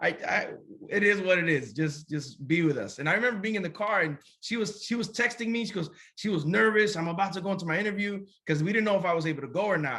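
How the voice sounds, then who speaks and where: Raised and projected, a man's high, bright, sharp voice races at a very fast pace with ordinary pitch variation. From USA. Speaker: pastor. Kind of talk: interview testimony. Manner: halting, many repetitions.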